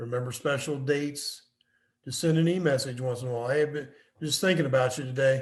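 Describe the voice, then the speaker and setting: In a room with audible echo, a man speaks at a moderate pace in a fairly high, somewhat breathy voice with fairly even intonation. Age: 70s. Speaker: business consultant and professor. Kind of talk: lecture.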